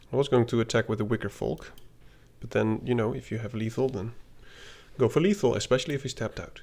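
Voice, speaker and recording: A man's medium-pitched voice with vocal fry, a very fast pace, and long, frequent pauses. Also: ordinary pitch variation. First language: not English (English is third language). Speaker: gaming content creator. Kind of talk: gameplay commentary. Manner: casual, hesitant with fillers.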